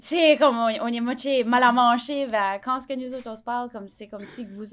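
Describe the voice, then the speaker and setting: A woman at a moderate pace with fairly even intonation, on a very clean recording with a silent background. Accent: New Brunswick Acadian. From Acadia, New Brunswick (Bouctouche, southeast). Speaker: content creator. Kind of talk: podcast interview. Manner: hesitant, many fillers.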